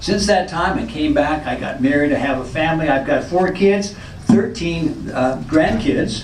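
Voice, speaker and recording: In an American accent, a man speaks at a moderate pace and a fairly high pitch. Audible room echo and noticeable background noise surround him. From Northern California. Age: 60s. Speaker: former college football player. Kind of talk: pre-game speech.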